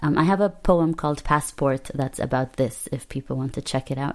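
A woman speaks in an Arabic accent. Her pitch is very deep and low. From Palestinian refugee family, lived in Lebanon. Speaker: poet, artist and politics lecturer. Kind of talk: interview. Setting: remote call from London.

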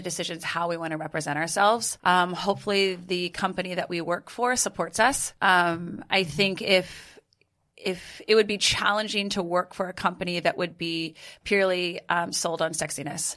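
A woman with an American accent has a plain, everyday voice at medium pitch. She keeps a moderate pace and ordinary pitch variation. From California. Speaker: fitness coach. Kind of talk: casual chat.

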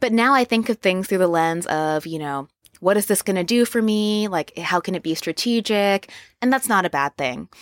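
With an American accent, a normal speaking voice moves at a moderate pace with lively intonation, dry and close with no echo on a very clean recording with a silent background. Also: woman, medium pitch for a woman. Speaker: lettering artist. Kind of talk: interview. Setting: podcast lounge at a conference.

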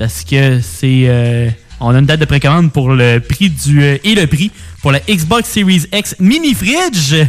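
This man's voice sits fairly high and swings very widely in pitch. He talks at a fairly slow pace with very even loudness. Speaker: radio co-host, music and gaming news. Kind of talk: casual chat.

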